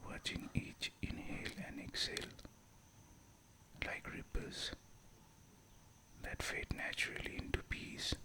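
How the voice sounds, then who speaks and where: Someone whispers in a calm tone at a fairly slow pace, with long, frequent pauses. Noticeable background noise can be heard. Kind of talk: guided meditation. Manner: whispered; slow, calm.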